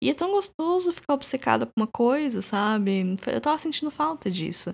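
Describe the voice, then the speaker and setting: A woman's voice at a moderate pace with very wide pitch swings, on a very clean recording with a silent background. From Brazil. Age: 30s. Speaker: podcast host. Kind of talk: casual solo podcast monologue.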